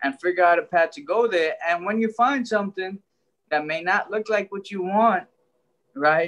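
A man with an American accent speaks at a moderate pace. His pitch is high, with ordinary variation. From Brooklyn, New York (Trinidadian family). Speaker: author and life coach; life coach. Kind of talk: interview. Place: home room. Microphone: video call.

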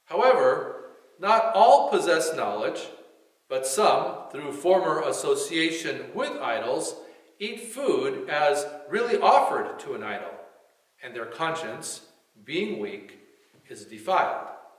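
A man at a very slow pace with long, frequent pauses and big swings in loudness, audible room echo over a quiet background. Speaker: church reader or pastor. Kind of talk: scripture reading. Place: church. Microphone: podium.

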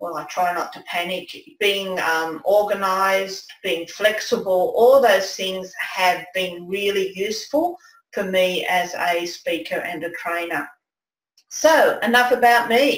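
A woman with an Australian accent and medium pitch, fairly slow, with ordinary pitch variation, big swings in loudness and audible room echo. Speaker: presentation skills coach, former nurse; presentation skills coach. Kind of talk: webinar presentation. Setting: online webinar with screen share. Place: home room.

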